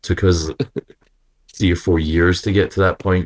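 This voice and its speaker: In a Scottish accent, a man speaks with monotone, flat intonation. The recording is very clean, with a silent background and a dry, close sound with no echo. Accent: own accent, Scottish. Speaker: rock singer and guitarist. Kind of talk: interview. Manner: hesitant, many fillers.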